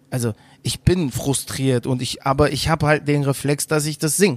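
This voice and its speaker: Here a man is speaking. His pace is fairly quick. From Cologne, Germany. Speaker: singer. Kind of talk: interview.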